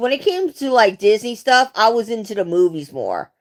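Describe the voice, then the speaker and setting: A woman's voice sits fairly high in pitch as she talks at a fairly slow pace. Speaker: live streamer. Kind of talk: casual chat. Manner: halting.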